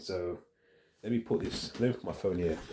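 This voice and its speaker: A man's somewhat breathy voice has a dark, mellow tone and ordinary pitch variation. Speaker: vlogger. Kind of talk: casual vlog monologue. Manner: halting, self-correcting.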